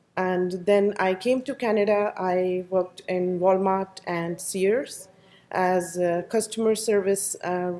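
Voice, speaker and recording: With an Indian accent, a woman speaks at a very slow pace in a dark, mellow tone, her medium pitch held in fairly even intonation. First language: not English. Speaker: program graduate, safety professional. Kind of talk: career talk to audience.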